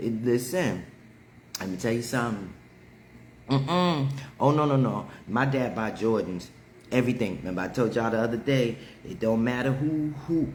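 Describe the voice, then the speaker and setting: Speaking at a moderate pace with long, frequent pauses, a man with a medium pitch and ordinary pitch variation has an animated tone, and audible room echo is present. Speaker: livestream host. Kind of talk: casual chat. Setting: livestream.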